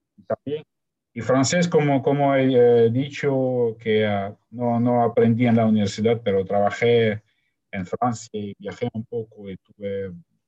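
A man with a Russian accent, medium-pitched, dark and mellow in tone, at a fairly slow pace, in a dry, close sound with no echo. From Ukraine. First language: Russian (speaking Spanish). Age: 40s. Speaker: polyglot, marketing professional. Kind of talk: interview. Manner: halting.

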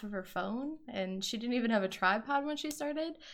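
At a very fast pace, a woman with an American accent talks with lively intonation. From Wisconsin. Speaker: podcast co-host, meal planning coach. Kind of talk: casual chat.

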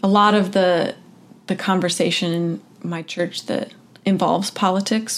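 Speaking in an unremarkable speaking voice, this woman keeps a medium pitch, a moderate pace and ordinary variation in pitch. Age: 20s. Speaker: churchgoer interviewee. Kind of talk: interview.

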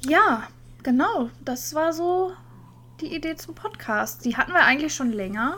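A woman's raised, projected voice, high-pitched, bright and sharp in tone, with very wide pitch swings, big swings in loudness, a fairly slow pace and long, frequent pauses. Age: 30s. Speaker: podcast co-host. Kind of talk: casual chat.

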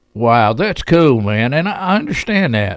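A man talks with a Southern US accent at a fairly slow pace. His pitch makes very wide swings. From Chattanooga, Tennessee. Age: 50s. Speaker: radio host. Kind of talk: casual interview chat.

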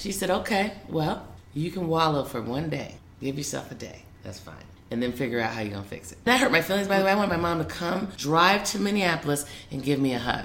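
Talking very fast at a fairly low pitch, a woman swings very widely in pitch and greatly in loudness, with noticeable background noise and audible room echo. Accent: American. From US Midwest, Des Moines, Iowa. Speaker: lawyer and public servant. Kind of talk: interview conversation.

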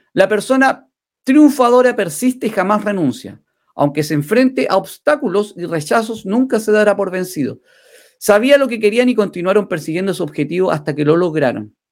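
Moderately paced speech from a man, high in pitch, with lively intonation. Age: 40s. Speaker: livestream host. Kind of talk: motivational livestream talk. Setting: live stream.

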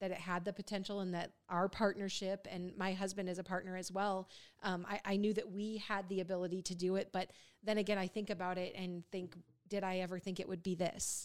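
This is a normal speaking voice. It moves at a fairly quick pace. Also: woman, medium pitch for a woman. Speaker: podcast host and in-home care business owner. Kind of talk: casual chat. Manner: upbeat, cheerful.

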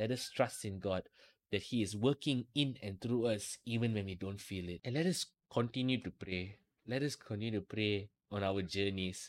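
In a dry, close recording with no echo and a very clean, silent background, a man with a plain, everyday voice speaks at a fairly low pitch with ordinary pitch variation. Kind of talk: fervent prayer. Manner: earnest, pleading, devout.

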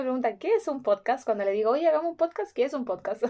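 A woman with a Chilean accent speaks at a high pitch. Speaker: podcast host, speech therapist. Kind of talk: casual interview chat.

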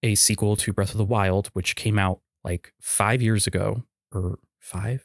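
In a very clean recording with a silent background, a man with an unremarkable speaking voice talks at a moderate pace and a fairly low pitch. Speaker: podcast co-host. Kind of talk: casual chat. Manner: casual, joking.

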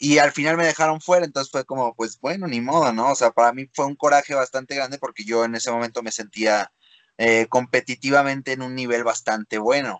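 A man with an unremarkable speaking voice talks at a fairly quick pace and medium pitch with ordinary pitch variation, against a quiet background. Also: dry, close sound with no echo. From Mexico. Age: 20s. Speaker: freestyle rapper. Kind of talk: interview. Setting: video call.

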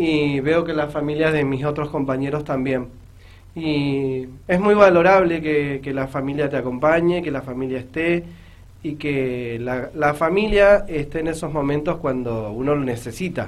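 There is audible room echo as a man speaks at a fairly slow pace, his fairly high pitch showing ordinary pitch variation. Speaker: amateur newcom player and referee. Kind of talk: radio interview.

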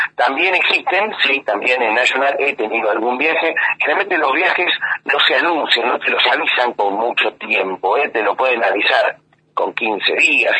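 A man with an Argentine accent talks at a moderate pace. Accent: Argentine Spanish (Rioplatense). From Argentina (raised there from early childhood). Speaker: photographer and journalist. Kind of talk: interview.

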